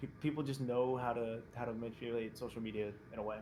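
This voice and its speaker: A man with an American accent at a fairly quick pace, with audible room echo. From New Jersey. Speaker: esports player. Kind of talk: casual chat. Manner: animated.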